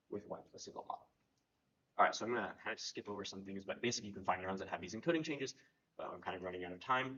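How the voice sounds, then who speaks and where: This voice moves at a very fast pace with ordinary pitch variation. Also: man, fairly low pitch for a man. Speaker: neuroscience researcher. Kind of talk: conference talk. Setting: conference workshop.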